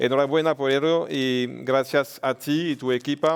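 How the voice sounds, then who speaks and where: A man with a French accent, fairly even intonation and a fairly slow pace. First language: French (speaking Spanish). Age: 40s. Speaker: politician. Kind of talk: conference speech. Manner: halting.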